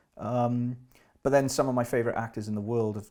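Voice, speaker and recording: Speaking fairly quickly with a Welsh accent, a man uses a medium-pitched, dark, mellow voice with flat, monotone intonation. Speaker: actor. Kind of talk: casual chat.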